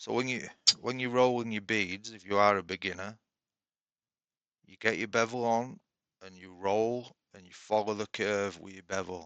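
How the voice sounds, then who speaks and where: With a Yorkshire accent, a man with a fairly low pitch speaks at a moderate pace in a relaxed tone, his intonation fairly even, his loudness swinging widely and his speech broken by long, frequent pauses. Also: quiet background. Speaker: woodturner. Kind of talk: tutorial. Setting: home workshop shed. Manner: casual, relaxed.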